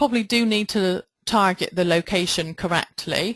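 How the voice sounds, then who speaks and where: In a Bristol accent, a woman talks at a fairly slow pace, the sound dry and close with no echo against a quiet background. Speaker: online marketing trainer. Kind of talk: webinar tutorial. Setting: webinar with screen share.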